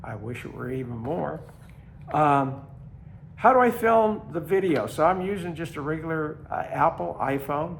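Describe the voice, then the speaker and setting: A man's voice shows vocal fry. His pitch swings very widely. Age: 80s+. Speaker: long-distance hiker. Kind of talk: casual talk to camera. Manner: hesitant, many fillers.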